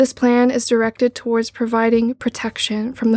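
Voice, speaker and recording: A woman with a plain, everyday voice talks at a fairly quick pace and fairly high pitch. Her intonation is fairly even, and the sound is dry and close with no echo. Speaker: library archivist reading the plan. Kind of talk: reading aloud a 1960s civil defense plan, like film narration. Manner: grave, formal, measured; even, authoritative newsreel-style delivery.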